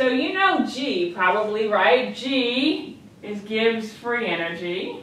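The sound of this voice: With a fairly bright tone and strong room echo, a woman talks at medium pitch.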